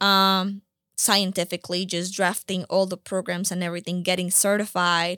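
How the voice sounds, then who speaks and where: Speaking at a moderate pace, a woman with a medium pitch and a bright, sharp tone keeps a monotone, flat intonation on a very clean recording with a silent background. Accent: Spanish. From Colombia (Bogota). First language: Spanish. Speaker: nonprofit founder. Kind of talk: interview.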